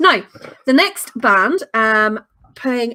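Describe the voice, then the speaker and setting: Speaking with a Northern Irish accent, a woman uses a fairly high pitch, lively intonation and a bright, sharp tone, in a dry, close sound with no echo. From Northern Ireland. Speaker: online show host. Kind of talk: live-stream chat, reading viewer comments. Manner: casual, chatty.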